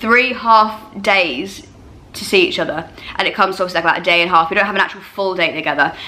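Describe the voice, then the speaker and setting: A woman talks at a very fast pace. Noticeable background noise and audible room echo come through. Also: medium pitch for a woman, ordinary pitch variation. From eastern England. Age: 30s. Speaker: YouTuber. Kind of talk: casual Q&A chat. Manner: loud.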